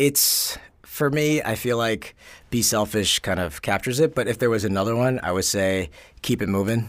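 A man with an American accent speaks at a moderate pace in a medium pitch, a plain, everyday voice on a very clean recording with a silent background. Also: ordinary pitch variation. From New York, Bronx. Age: 30s. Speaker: sociologist. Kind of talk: casual interview.

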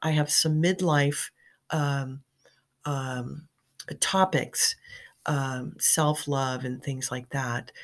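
A woman with a very deep, low pitch talks at a very slow pace, using fairly even intonation and long, frequent pauses, on a very clean recording with a silent background. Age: 50s. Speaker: podcast host and midlife coach. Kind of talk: casual monologue. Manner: hesitant with fillers.

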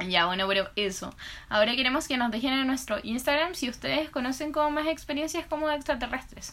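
A woman with a Chilean accent speaks very fast in a high pitch, her tone bright and sharp and her intonation lively. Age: 20s. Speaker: podcast co-host. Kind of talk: casual chat.

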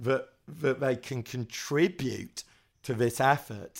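A man speaks with a London accent. His pitch is fairly high. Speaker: podcast co-host. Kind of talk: casual chat.

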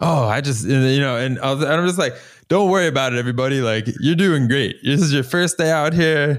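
A man's unremarkable speaking voice with an American accent, fairly high-pitched, with very even loudness and ordinary pitch variation. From Florida, US. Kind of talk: casual interview chat. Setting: remote video call.

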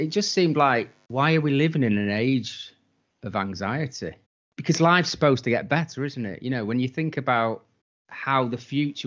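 A man speaks with a British accent at a medium pitch. His intonation is lively. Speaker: podcast co-host. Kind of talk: casual chat, rant.

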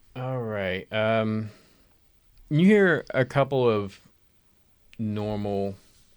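Intonation is fairly even. The delivery is very slow. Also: man. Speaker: game master. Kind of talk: casual tabletop roleplaying game chat.

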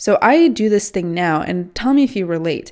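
A woman with a normal speaking voice talks at a medium pitch with lively intonation, on a very clean recording with a silent background. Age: 20s. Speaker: self-development podcaster. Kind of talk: casual monologue. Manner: casual, filler-heavy.

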